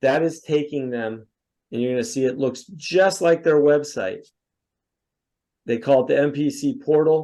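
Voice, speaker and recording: A man's dark, mellow tone at a fairly high pitch, with ordinary pitch variation, a moderate pace and a quiet background. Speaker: software sales presenter; presenter. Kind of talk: product demo. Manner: animated. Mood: lightly ironic. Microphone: video call.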